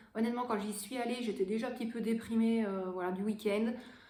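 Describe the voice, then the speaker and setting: Audible room echo surrounds a woman speaking at a fairly high pitch with fairly even intonation. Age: 30s. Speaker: vlogger. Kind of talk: casual haul vlog.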